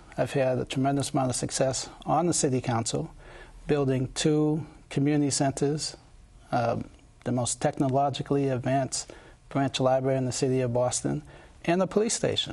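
A man's somewhat breathy, dark, mellow voice at a fairly quick pace with fairly even intonation. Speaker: candidate. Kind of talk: interview answer. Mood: calm, confident, persuasive. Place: studio. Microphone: lapel.

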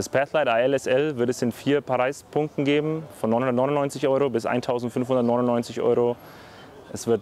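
Intonation stays fairly even in a dry recording with no echo and light background noise. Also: man. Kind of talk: product presentation. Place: garden. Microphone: lapel.

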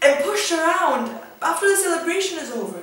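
A woman speaks at a moderate pace, with audible room echo around her. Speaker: spoken word poet. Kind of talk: spoken word poetry reading. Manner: emotional, reflective. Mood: emotional, hurt, questioning. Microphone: camera far.

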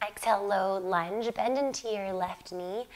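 A woman speaks in a gentle tone. Her pace is very slow. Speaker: yoga instructor and video creator. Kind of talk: guided yoga class instruction, calming guided meditation style. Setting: home video yoga class. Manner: calm, slow, soothing; gentle, cueing breaths and poses. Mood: calm, soothing.

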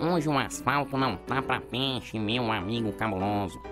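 Over loud music in the background, a man talks at a moderate pace and medium pitch. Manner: casual, wry.

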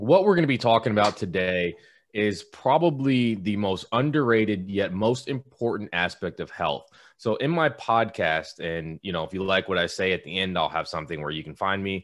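Fairly low-pitched man with lively intonation at a moderate pace, quiet background. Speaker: guest. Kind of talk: webinar talk. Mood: warm, upbeat. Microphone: video call.

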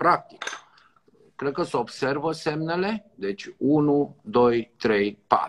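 At a very slow pace, a man speaks with lively intonation and a fairly high pitch. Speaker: doctor. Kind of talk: live tutorial. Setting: video call. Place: home room. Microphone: video call.

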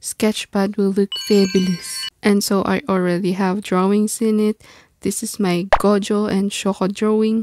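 With music in the background, a woman speaks in a monotone, flat intonation, and the sound is dry with no echo. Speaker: self-taught artist. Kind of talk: casual art tutorial talk. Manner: stutters a lot. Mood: relaxed, warm. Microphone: phone near.

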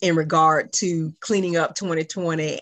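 In a very deep, low voice, a woman speaks with monotone, flat intonation. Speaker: meeting facilitator. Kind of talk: meeting presentation. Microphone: video call.

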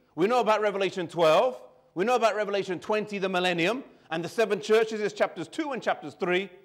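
A man with a high pitch and a British accent, over a quiet background. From England, child of immigrant parents. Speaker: preacher. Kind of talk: sermon. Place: church. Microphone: lapel.

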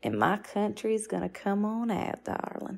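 Fairly slow speech from a woman in a Southern US accent. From US South. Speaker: audio reaction commentator. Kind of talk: casual chat. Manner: animated.

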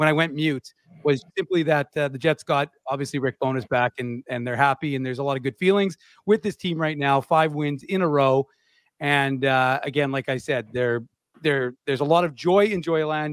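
Against a quiet background, a man speaks at a moderate pace with ordinary pitch variation, the sound dry with no echo. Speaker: podcast host. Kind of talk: sports commentary. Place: home room. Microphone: studio mic.

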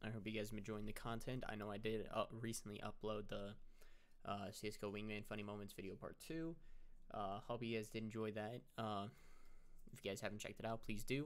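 Moderate pace from a man with fairly low pitch. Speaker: YouTube gaming creator. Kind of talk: casual update monologue to camera. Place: home room. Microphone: webcam.

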